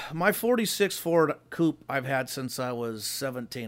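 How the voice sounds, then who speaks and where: With an American accent and an ordinary speaking voice, a man speaks at a fairly slow pace and medium pitch on a very clean recording with a silent background. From US West Coast, Los Angeles area. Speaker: hot rod builder, son of a hot rod figure. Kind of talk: casual chat.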